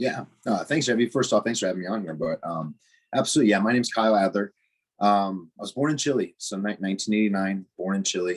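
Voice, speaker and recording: Against a quiet background, a man with an American accent talks at a very fast pace in a fairly low voice. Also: ordinary pitch variation. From US Midwest, Chicago northwest suburbs. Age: 30s. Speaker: weightlifting coach. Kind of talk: interview.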